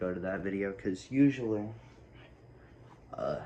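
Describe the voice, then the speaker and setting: A quiet man speaks at a fairly low pitch with ordinary variation. Room echo is audible. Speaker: sneaker YouTuber. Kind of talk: casual vlog. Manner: hesitant, many fillers.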